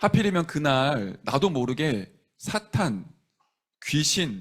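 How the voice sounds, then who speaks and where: Very wide pitch swings mark this man's fairly high voice, which has a gentle tone. The recording is very clean, with a silent background. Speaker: pastor. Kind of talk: sermon. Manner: gentle, non-pushy.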